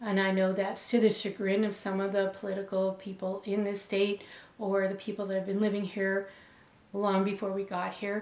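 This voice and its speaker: In an American accent, a woman speaks at a moderate pace and medium pitch with flat, monotone intonation. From Buffalo, New York. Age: 60s. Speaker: educator. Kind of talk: interview answers. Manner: halting, many fillers.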